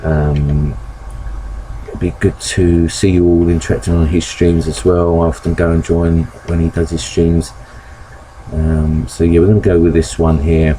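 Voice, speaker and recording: A man mumbles at a fairly slow pace with long, frequent pauses. His very deep, low voice stays fairly even in intonation over noticeable background noise. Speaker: gaming streamer. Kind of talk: live gameplay commentary. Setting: live stream. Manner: mumbling; hesitant, many fillers.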